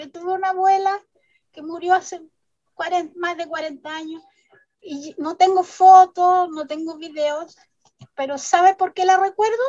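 A woman speaks at an extremely high pitch with a dark, mellow tone and fairly even intonation. Her pace is fairly slow, with long, frequent pauses and big swings in loudness. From Chile, Vallenar. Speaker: children's author. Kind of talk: interview.

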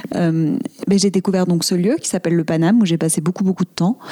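Her voice fairly low in pitch and dark and mellow in tone, a woman talks at a fairly quick pace with ordinary pitch variation in a dry, close sound with no echo. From Marseille, southern France. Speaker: comedian and actress. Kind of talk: casual interview chat.

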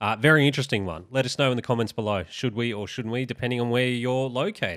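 A man talks at a very fast pace with medium pitch and ordinary pitch variation. The recording is very clean, with a silent background. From United Kingdom. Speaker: podcast host. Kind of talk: casual chat.

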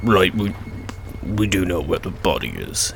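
Clear background noise beneath a very deep, low put-on character voice from a man. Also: moderate pace.

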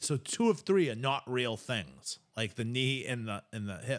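On a very clean recording with a silent background, a man with an American accent speaks at a fairly slow pace and medium pitch in an unremarkable speaking voice. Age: 40s. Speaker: podcast co-host. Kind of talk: casual chat.

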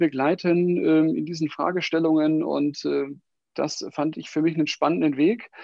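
The man speaks at a fairly slow pace. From Germany, Wiesbaden (Hesse). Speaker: HR consultant. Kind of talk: interview. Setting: home office, live stream.

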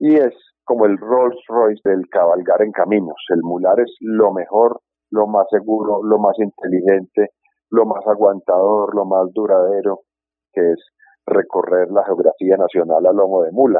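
His intonation is fairly even and his loudness very even. The man speaks at a fairly low pitch. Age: 50s. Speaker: birdwatching and horseback tourism guide. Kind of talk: interview. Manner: halting.

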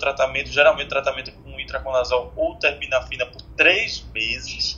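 Male speech at a moderate speed amid noticeable background noise. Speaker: infectious disease physician. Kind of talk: casual chat.

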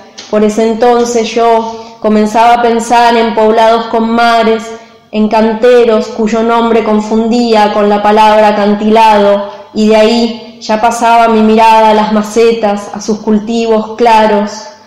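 Amid audible room echo and noticeable background noise, a woman speaks fairly slowly at a fairly high pitch in a monotone, flat intonation. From San Juan, Argentina. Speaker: poet. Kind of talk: poetry reading.

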